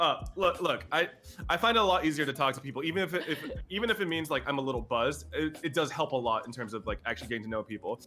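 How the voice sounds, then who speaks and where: The man's intonation is lively as he talks. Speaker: streamer. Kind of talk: casual chat. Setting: live stream. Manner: loud; talkative.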